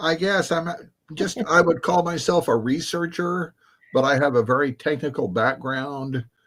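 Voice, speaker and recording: Fairly high in pitch with ordinary pitch variation, a man with an American accent has a plain, everyday voice. The recording is very clean, with a silent background. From United States. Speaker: author and researcher. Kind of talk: live stream interview.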